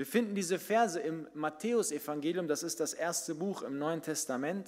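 With hardly any pauses, a man talks over a quiet background, his pitch varying in an ordinary way. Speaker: pastor. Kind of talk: sermon. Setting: church. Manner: animated, conversational storytelling; direct, addresses listeners as 'du'. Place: church. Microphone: podium.

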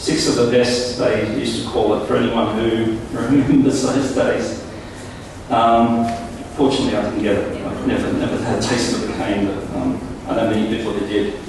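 Strong room echo and noticeable background noise surround a man speaking at a moderate pace. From Palestine. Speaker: MC. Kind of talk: formal event speech. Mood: proud, reflective. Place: hall.

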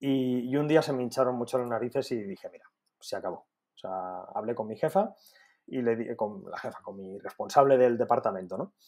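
Speaking at a fairly quick pace over a quiet background, a man uses lively intonation with big swings in loudness. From Spain, Alicante area; Spain. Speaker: dietitian; podcast guest. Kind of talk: interview. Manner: halting, frequent repetitions. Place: home room. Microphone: earbuds.

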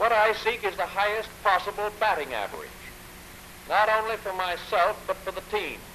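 A man with an American accent speaks in a high pitch with a raised, projected voice and fairly even intonation, over light background noise. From United States. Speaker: president. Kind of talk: radio address to the nation. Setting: 1930s radio broadcast recording. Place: office. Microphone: old recording.

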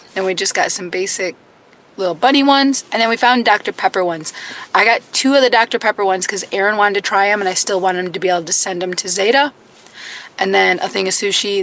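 With noticeable background noise behind her, a woman talks at a fairly quick pace with medium pitch and ordinary pitch variation. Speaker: homesteading vlogger. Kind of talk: casual vlog talk.

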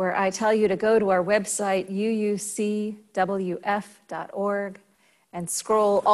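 The text is being read aloud in a natural voice.

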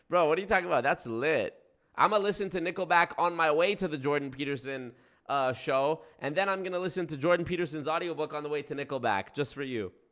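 A man at a fairly high pitch, animated and very fast, over a quiet background. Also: ordinary pitch variation. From Canada. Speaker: YouTuber. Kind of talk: live stream commentary. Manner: profane. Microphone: studio mic.

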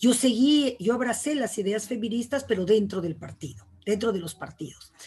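With lively intonation, a woman talks in a somewhat breathy voice of fairly high pitch. Her pace is moderate. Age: 60s. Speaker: poet and writer; panelist, feminist educator. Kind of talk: casual chat. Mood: reflective, earnest. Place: home room. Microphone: video call.

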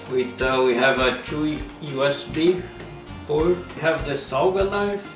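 With clear music playing in the background, a man speaks using ordinary pitch variation. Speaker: presenter. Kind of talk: tutorial. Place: kitchen.

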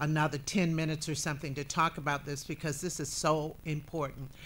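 A woman with a very deep, low pitch talks at a moderate pace. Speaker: talk show host. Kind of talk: interview host talk and announcements. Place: studio. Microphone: studio mic.

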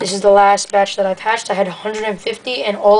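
A woman is speaking. Her pace is very fast. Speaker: reptile hobbyist video maker. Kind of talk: tutorial. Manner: casual. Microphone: phone near.

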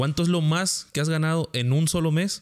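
A man speaks against a quiet background. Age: 30s. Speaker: podcast host; podcast host or guest. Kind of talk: casual interview chat. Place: home room. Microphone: studio mic.

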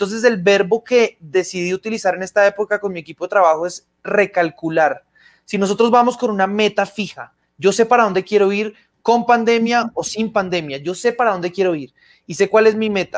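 This voice moves at a fairly quick pace with ordinary pitch variation. The background is quiet. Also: man. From Colombia. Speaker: magician; guest. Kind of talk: casual interview chat. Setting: video call. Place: home room. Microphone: video call.

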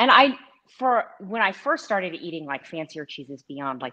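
With an American accent, a woman at a fairly low pitch speaks at a moderate pace in a bright, sharp tone with very wide pitch swings over a quiet background. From Texas. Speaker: food blogger and cheese board maker; food blogger. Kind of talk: casual live-stream tasting chat. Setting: video call live stream. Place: kitchen.

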